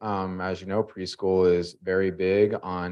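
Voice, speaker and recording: This man's voice is very deep and low, delivered at a moderate pace. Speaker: school district administrator. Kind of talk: presentation at a school board meeting.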